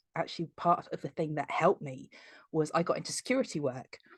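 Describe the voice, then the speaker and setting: A woman's very deep, low pitch is heard with a quiet background. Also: dry, close sound with no echo. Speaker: podcast host. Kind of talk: podcast interview. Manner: soft-spoken.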